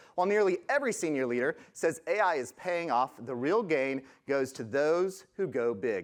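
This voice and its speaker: Against a quiet background, a man with a fairly high voice speaks with very wide pitch swings. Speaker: conference speaker, product management head. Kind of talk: conference presentation. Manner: fast.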